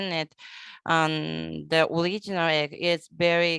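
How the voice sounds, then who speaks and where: In a Japanese accent, a woman speaks at a fairly low pitch, recorded very cleanly against a silent background with a dry, close sound and no echo. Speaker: conference moderator. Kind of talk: casual chat. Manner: halting.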